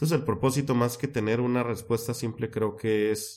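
Talking at a moderate pace, a man keeps his intonation fairly even. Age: 30s. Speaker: life purpose coach and educator. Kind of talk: interview.

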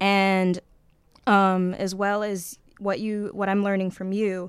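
This woman has an ordinary speaking voice, pitched at a medium level and delivered at a moderate pace in a very clean recording with a silent background. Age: 20s. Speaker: magazine social media manager, writer. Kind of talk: radio interview. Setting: radio studio.

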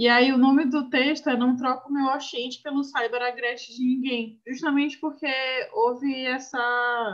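A woman's high pitch at a fairly slow pace, in a monotone, flat intonation. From Brazil, Northeast. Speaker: podcast host. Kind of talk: casual book discussion.

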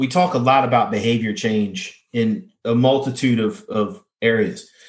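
A man with a normal speaking voice, medium in pitch, at a fairly slow pace. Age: 30s. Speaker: powerlifter and athletic trainer. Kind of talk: interview.

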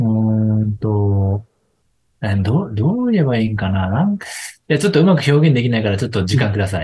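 Somewhat breathy delivery at a fairly quick pace, dark and mellow in tone, with ordinary pitch variation. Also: man, fairly low pitch for a man. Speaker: business succession advisor. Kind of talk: casual chat.

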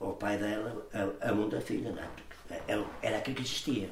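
A man speaks at a moderate pace. Audible room echo and noticeable background noise fill the recording. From northern Portugal, São Torquato (Guimarães area). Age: 70s. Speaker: community elder, scout movement member. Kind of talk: interview, life story. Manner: halting, with many repetitions and fillers.

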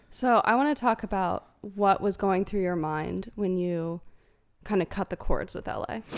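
Heard on a very clean recording with a silent background, a woman with medium pitch and a plain, everyday voice talks at a moderate pace with ordinary pitch variation. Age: 20s. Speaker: YouTuber and podcast co-host. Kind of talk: casual chat.

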